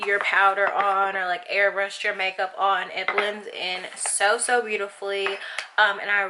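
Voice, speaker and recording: A woman with a Southern US accent speaks at a fairly slow pace in a monotone, flat intonation and a medium pitch, with noticeable background noise. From Arkansas, USA. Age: 20s. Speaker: beauty YouTuber. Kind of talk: casual talk to camera.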